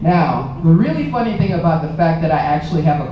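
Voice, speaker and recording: Noticeable background noise and audible room echo surround a woman with an American accent and a very deep, low pitch, who uses ordinary pitch variation. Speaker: television reporter. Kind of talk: speech. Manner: loud; animated.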